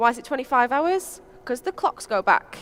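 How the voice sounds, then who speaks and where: A woman is speaking here. She has a strong Lancashire accent. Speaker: software developer. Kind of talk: conference talk. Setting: stage with audience. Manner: casual, with frequent fillers.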